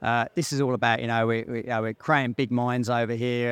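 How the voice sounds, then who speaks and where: Speaking very fast with monotone, flat intonation, a medium-pitched man with an English accent is recorded dry and close with no echo. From England, North London. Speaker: mining company CEO. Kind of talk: interview. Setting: outdoors at a conference event.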